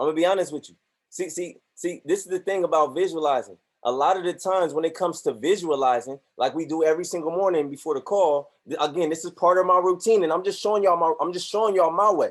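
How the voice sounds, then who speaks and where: A very fast pace with ordinary pitch variation and big swings in loudness. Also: man, high pitch for a man. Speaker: motivational speaker and trading group leader. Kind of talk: motivational talk on a group call. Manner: animated.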